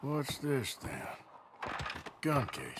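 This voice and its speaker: Over clear background noise, a man performs a put-on character voice at a fairly high pitch. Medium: video game. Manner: gruff, dry, laconic.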